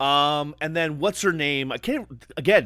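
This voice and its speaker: With a raised, projected voice, a man speaks at a fairly slow pace in an animated tone that is bright and sharp. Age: 40s. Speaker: wrestling podcast co-host. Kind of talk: casual chat.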